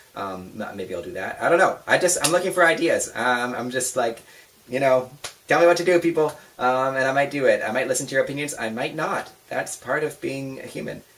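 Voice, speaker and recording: A man talks with lively intonation. Background noise is noticeable. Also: fairly high pitch for a man, fairly quick pace. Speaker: vlogger. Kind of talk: casual chat. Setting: home bedroom. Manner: fast; animated.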